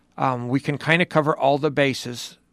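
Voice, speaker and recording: A man's plain, everyday voice at medium pitch and moderate pace, with dry, close sound with no echo and a very clean recording over a silent background. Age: 60s. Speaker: cattle breeder. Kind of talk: interview.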